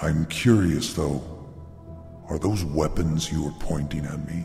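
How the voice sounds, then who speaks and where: A man in a put-on character voice, very deep and low in pitch, at a fairly slow pace, with clear music in the background. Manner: condescending, amused.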